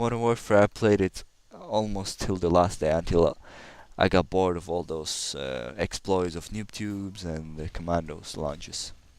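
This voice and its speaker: A man's very deep, low voice with a slight Russian accent, on a very clean recording with a silent background. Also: ordinary pitch variation, moderate pace. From Kazakhstan. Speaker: gamer. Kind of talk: gameplay commentary. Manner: halting.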